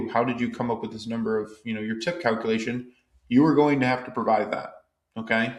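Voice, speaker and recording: In a room with audible echo, a man talks very fast with fairly even intonation. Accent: American. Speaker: tax advisor presenter. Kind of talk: educational explainer. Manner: casual, conversational.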